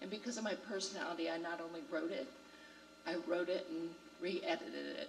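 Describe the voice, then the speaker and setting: A woman speaks at a moderate pace over noticeable background noise, with audible room echo. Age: 60s. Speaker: ceremony speaker. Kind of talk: commencement speech. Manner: animated.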